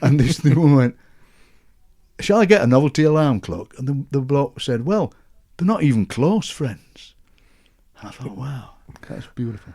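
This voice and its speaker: With a strong Yorkshire accent, a man speaks at a moderate pace in a fairly high, dark, mellow voice, his intonation lively and broken by long, frequent pauses. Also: big swings in loudness. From Yorkshire, England. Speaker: poet and broadcaster. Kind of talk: interview answer. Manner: friendly, enthusiastic.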